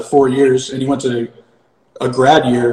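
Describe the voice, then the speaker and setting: A man speaks with an American accent at a medium pitch. His intonation is monotone and flat, and his pace is fairly slow. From Connecticut. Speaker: sports marketing agency owner. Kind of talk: casual chat.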